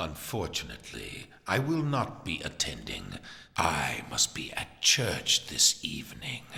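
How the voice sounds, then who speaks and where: Whispering in a put-on character voice, a man speaks at a fairly slow pace. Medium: video game. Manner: smooth, condescending.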